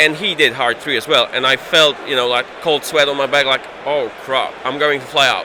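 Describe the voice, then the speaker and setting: A man speaks at a moderate pace in a slight Polish accent, his pitch fairly high. His intonation is fairly even, with noticeable background noise behind him. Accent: slight Polish accent, almost native English. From Poland. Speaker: tabletop game player. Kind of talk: post-game interview. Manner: halting, repeats words.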